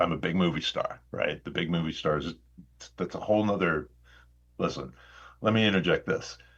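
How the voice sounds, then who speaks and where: With a Midwestern American accent, a man speaks at a moderate pace. He leaves long, frequent pauses, and the background is quiet. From Indiana, US Midwest. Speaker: actor. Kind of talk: podcast interview.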